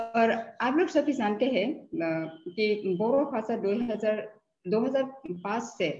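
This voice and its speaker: This woman speaks with lively intonation. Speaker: professor. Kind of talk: lecture. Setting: webinar video call. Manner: halting, frequent fillers.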